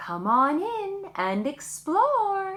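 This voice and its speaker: A woman puts on a squeaky character voice at an extremely high pitch. Her tone is gentle. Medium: read story. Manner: friendly, gentle.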